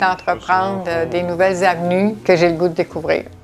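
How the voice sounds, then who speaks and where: Music plays in the background as a woman speaks at a moderate pace and a medium pitch. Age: 70s. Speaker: retired sailing enthusiast. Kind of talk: documentary interview answer.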